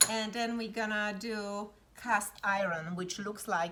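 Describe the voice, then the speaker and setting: A woman with a Polish accent speaks with fairly even intonation. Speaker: pottery studio instructor. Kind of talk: tutorial.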